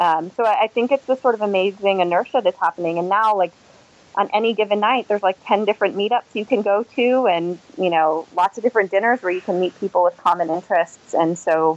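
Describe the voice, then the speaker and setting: Speaking fairly quickly with an American accent, a woman keeps a medium pitch with ordinary pitch variation. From Boston area. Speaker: venture capital platform lead. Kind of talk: interview. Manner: halting, many fillers and repetitions.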